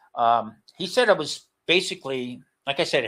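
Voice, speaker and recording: A man speaks at a fairly high pitch. The recording is very clean, with a silent background. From New Jersey, US. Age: 70s. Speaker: retired chef, cancer survivor. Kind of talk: interview testimony. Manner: halting, many repetitions and fillers.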